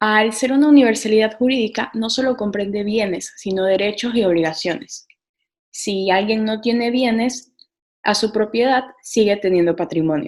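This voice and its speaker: At a moderate pace, a woman with a fairly high pitch and ordinary pitch variation speaks in an unremarkable speaking voice. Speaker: law student presenter. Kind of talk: lecture.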